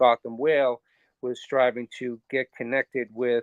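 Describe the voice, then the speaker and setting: A man is speaking here. He talks with a Boston accent. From Boston area, US. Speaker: ocean conservation organizer. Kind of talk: podcast interview. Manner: hesitant, many fillers.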